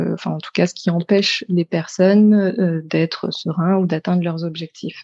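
A woman's voice comes through dry and close with no echo, dark and mellow in tone, with fairly even intonation. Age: 30s. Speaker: kinesiologist. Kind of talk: interview.

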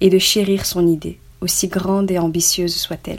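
A woman with a plain, everyday voice and fairly low pitch talks at a fairly slow pace. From Belgium. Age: 20s. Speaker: online business student sharing testimony. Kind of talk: scripted reading of testimony. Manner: formal.

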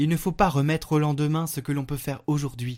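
A man's solemn, gentle voice at a fairly high pitch, on a very clean recording with a silent background. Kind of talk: fervent prayer, intercessory prayer and devotional reading. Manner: slow, solemn, reverent; gentle, heartfelt, intimate.

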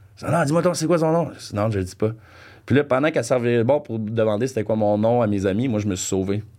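Very fast talking comes from a man of medium pitch. His intonation is lively. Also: very clean recording, silent background. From Franco-Ontario, Canada. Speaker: podcast guest. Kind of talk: casual chat, storytelling.

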